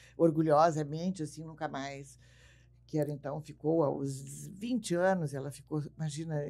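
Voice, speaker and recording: Fairly even intonation comes with a dark, mellow tone in this voice. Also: woman, very clean recording, silent background. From southern Brazil, Bagé, Rio Grande do Sul. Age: 80s+. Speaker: radio and TV broadcaster. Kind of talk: casual interview.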